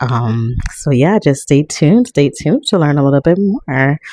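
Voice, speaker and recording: A woman talks at a moderate pace with a very deep, low pitch and a dark, mellow tone. The sound is dry and close, with no echo. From Jamaica. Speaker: vlogger. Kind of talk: casual chat.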